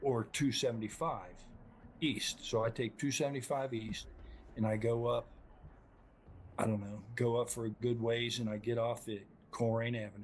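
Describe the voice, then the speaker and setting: A man talks at a moderate pace in a somewhat breathy voice. He takes long, frequent pauses. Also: medium pitch for a man, fairly even intonation. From Ohio, Cincinnati area. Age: 60s. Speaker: army veteran. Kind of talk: testimony.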